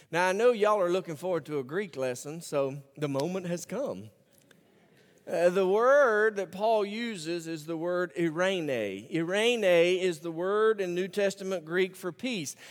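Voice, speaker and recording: Talking at a fairly slow pace in an Alabama accent, a man uses a high pitch with ordinary variation. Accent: Southern US (Alabama). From US South, Birmingham, Alabama. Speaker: pastor. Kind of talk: sermon. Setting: church.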